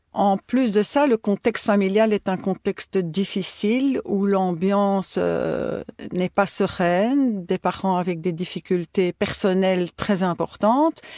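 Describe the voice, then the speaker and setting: Someone talks at a very slow pace with ordinary pitch variation, in a dry, close sound with no echo on a very clean recording with a silent background. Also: woman. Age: 60s. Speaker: retired teacher, patient. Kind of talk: personal testimony.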